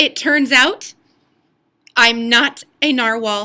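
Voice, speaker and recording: A woman performs a put-on character voice, raised and projected. She speaks at a very slow pace with a high pitch. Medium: read story.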